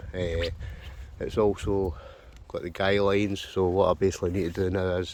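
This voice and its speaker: In a Scottish accent, a man speaks with a very deep, low pitch and monotone, flat intonation. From Scotland. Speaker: wild camper, outdoor gear reviewer. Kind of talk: casual gear review talk to camera. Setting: outdoors.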